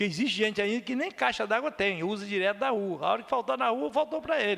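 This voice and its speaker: Very wide pitch swings run through this man's speech. He keeps a moderate pace. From Anchieta area, Espírito Santo, Brazil. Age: 60s. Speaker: politician (municipal councillor). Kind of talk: council session speech. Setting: municipal council chamber.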